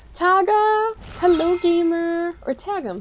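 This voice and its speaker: Mumbling in an animated tone, a woman speaks. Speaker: game streamer. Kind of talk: casual live stream chat while gaming.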